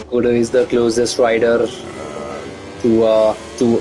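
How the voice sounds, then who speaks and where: Medium pitch from a man, with noticeable background noise behind it. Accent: non-native. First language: not English. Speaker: esports race commentator. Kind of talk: live commentary. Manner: animated.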